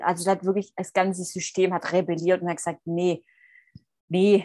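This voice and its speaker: A woman with a Swabian accent speaks at a moderate pace and a medium pitch. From Swabia, southern Germany. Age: 30s. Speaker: coach and mentor for women. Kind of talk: interview.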